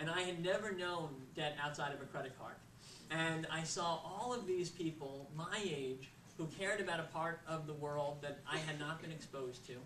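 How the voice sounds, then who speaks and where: Audible room echo and noticeable background noise surround a man with an American accent and a fairly high pitch. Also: ordinary pitch variation, moderate pace. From US, Florida (Boca Raton). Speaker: nonprofit founder. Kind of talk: speech. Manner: frequent filler uhs.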